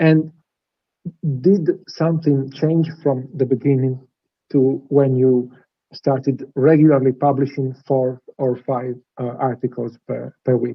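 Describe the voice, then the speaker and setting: A man's medium-pitched voice with a non-native accent, fairly even intonation and a very slow pace. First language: not English. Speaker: interviewer. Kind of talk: interview. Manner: halting.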